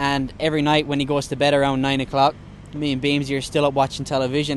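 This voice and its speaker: An Irish-accented man in a dry, echo-free recording with light background noise. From Ireland (County Mayo). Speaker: professional Australian rules footballer. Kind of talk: casual interview. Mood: relaxed, joking. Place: stadium. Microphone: handheld.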